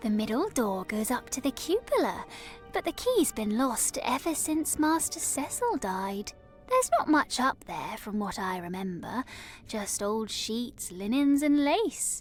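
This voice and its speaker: A female-sounding, put-on character voice, pitched high, speaks at a moderate pace with clear music playing in the background. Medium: video game. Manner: polite, gossipy.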